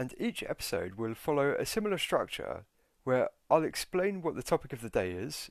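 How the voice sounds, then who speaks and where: A man speaks in a British accent at a fairly quick pace. The background is quiet. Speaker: podcast host, personal finance educator. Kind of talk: scripted podcast intro/monologue. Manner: friendly, informal, conversational.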